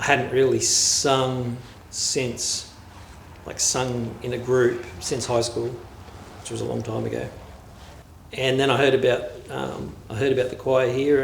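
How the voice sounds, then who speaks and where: A man speaks at a fairly slow pace with long, frequent pauses, and the room echo is audible. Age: 50s. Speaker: community choir member. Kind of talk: interview testimony.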